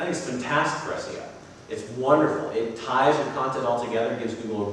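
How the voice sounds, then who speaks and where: A man talks at a medium pitch with ordinary pitch variation. Audible room echo and noticeable background noise fill the recording. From Texas, Austin. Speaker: conference speaker on SEO. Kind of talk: conference talk with audience Q&A. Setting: conference room with audience, microphone.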